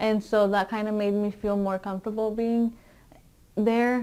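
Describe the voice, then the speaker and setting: Fairly high in pitch, a woman speaks in a monotone, flat intonation with a Spanish accent. The recording is very clean, with a silent background. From Mexico, raised in US from age six. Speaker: education student, former English learner. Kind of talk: interview. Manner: hesitant, many fillers.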